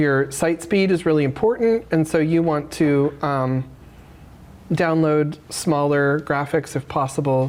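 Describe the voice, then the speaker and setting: Speaking with an American accent, a woman uses a very deep, low pitch and ordinary pitch variation. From Arizona (Phoenix). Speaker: graphic designer and presenter. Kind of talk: workshop tutorial. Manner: casual, many fillers.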